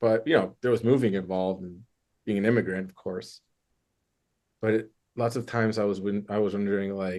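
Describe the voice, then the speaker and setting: With a Michigan accent, a man speaks at a fairly quick pace and fairly low pitch, using fairly even intonation and long, frequent pauses against a quiet background. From US Midwest, Michigan. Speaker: therapist. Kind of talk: interview. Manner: casual, hesitant with fillers.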